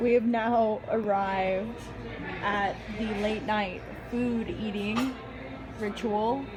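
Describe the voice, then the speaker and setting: Speaking at a very slow pace with long, frequent pauses, a woman holds a monotone, flat delivery at a fairly high pitch, while noticeable background noise and audible room echo fill the recording. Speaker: goth vlogger. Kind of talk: casual vlog chat. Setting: outdoors then restaurant.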